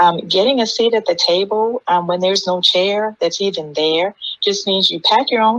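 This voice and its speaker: This woman talks at a moderate pace with ordinary pitch variation and a slight Southern US accent. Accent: slight Southern twang. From US, Maryland. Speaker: panelist, mentor. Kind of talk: panel discussion.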